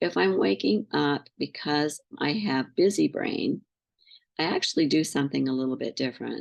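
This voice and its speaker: A woman talks quietly. Her pace is moderate. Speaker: pain psychology coach. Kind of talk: group session Q&A and guided practice. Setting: video call. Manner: voice drops and gets quiet; halting, many fillers.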